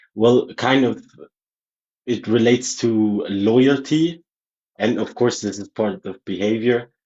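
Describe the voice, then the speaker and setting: A man with a non-native accent speaks at a very slow pace with long, frequent pauses. His pitch is medium with ordinary variation. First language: not English. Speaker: caller. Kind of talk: heated debate. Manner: halting, hesitant.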